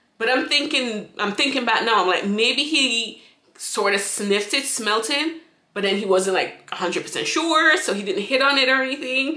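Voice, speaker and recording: Audible room echo surrounds a woman speaking at a moderate pace with lively intonation. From St. Vincent. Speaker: YouTuber; vlogger. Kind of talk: storytime monologue. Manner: casual, rambling with many fillers. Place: home room. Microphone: phone near.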